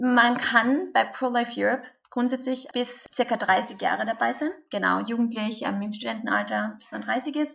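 A woman with a Carinthian accent at a moderate pace, her loudness swinging widely. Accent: Carinthian Austrian dialect. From Austria, Carinthia. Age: 20s. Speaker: pro-life activist. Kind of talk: interview.

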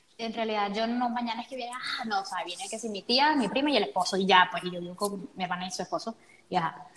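Over noticeable background noise, a woman at medium pitch talks very fast with ordinary pitch variation. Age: 20s. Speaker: podcast host. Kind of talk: casual chat. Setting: emergency stairwell of apartment building.

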